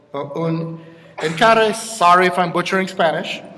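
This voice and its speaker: A man with ordinary pitch variation, audible room echo and noticeable background noise. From Jamaica. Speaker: awards presenter, philosopher. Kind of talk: award ceremony presentation.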